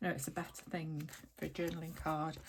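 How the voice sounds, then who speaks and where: A woman speaks with a British accent. Her pace is fairly slow. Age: 70s. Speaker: crafter. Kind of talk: crafting tutorial with casual chat. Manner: hesitant, many fillers.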